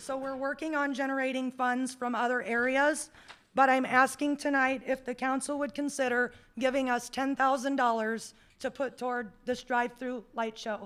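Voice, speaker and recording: Loud and delivered at a moderate pace, the voice has an American accent and a monotone, flat intonation. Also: woman, high pitch for a woman. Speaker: community event organizer. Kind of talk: public meeting presentation. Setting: council meeting room.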